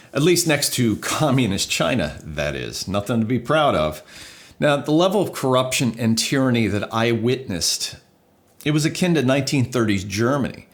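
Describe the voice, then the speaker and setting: In a New Jersey accent, a man speaks at a medium pitch with vocal fry. His pace is moderate and his intonation lively. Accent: American, New Jersey. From US, New Jersey. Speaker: video producer and YouTuber. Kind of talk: casual vlog monologue.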